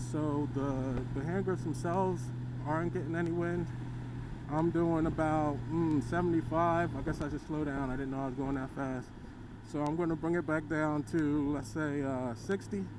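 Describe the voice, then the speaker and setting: A man's fairly high voice at a moderate pace, fairly even intonation, audible room echo. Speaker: motorcycle vlogger. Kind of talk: ride-along review commentary. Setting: riding a motorcycle on the road. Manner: casual, hesitant with fillers.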